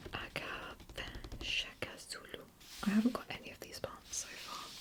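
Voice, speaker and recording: A woman whispers at a moderate pace, her loudness swinging widely. Noticeable background noise runs underneath. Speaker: ASMR creator. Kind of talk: ASMR whispered book browsing. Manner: whispered.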